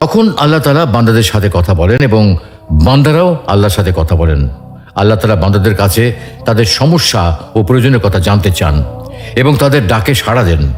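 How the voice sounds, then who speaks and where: With music playing in the background, the voice keeps a very even loudness while its pitch swings very widely. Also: man, fairly low pitch for a man. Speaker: Islamic voice narrator. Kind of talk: religious talk narration.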